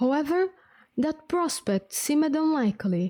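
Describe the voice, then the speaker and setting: A woman with a non-native accent speaks at a moderate pace in a somewhat breathy, dark, mellow tone, her pitch swinging very widely, in a very clean, silent recording that is dry and close with no echo. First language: not English. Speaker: vtuber streamer. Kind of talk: reading aloud.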